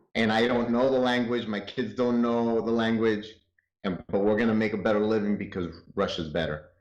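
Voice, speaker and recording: Speaking with a Spanish accent, a man uses a medium pitch and fairly even intonation. His pace is moderate. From North Hollywood, Los Angeles; born in Chihuahua, Mexico. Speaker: interview guest. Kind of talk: interview.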